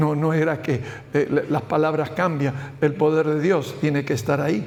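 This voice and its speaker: A man's voice at a moderate pace over noticeable background noise. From Spain. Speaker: pastor. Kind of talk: Bible study teaching. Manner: halting.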